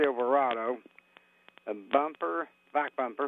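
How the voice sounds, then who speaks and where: Speaking with an Appalachian accent, a man uses a fairly high pitch and ordinary pitch variation. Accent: Appalachian American. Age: old. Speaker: caller. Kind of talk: call-in listing. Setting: phone call. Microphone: popping and crackling phone line.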